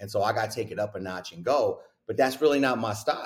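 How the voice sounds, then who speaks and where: A man's somewhat breathy voice comes through in a very clean recording with a silent background. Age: 40s. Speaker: basketball coach. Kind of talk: casual interview. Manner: animated.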